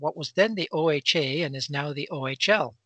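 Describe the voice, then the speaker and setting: The man's bright, sharp voice shows ordinary pitch variation, recorded dry with no echo over a quiet background. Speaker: remote guest. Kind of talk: interview answer. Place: home room.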